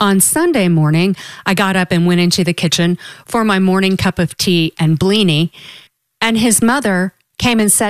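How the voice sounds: The pitch varies in an ordinary way in this natural reading voice, and the background is quiet.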